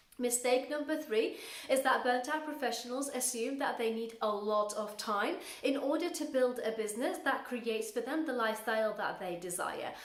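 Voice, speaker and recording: A woman with a high pitch and ordinary pitch variation speaks at a moderate pace, with audible room echo and noticeable background noise. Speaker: coach for burnt-out professionals. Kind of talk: talking-head advice video.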